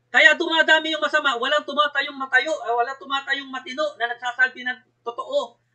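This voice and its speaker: A man's raised, projected voice, bright and sharp in tone, at a moderate pace with fairly even intonation. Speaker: company speaker. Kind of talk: sales pitch. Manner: blunt, direct; emphatic.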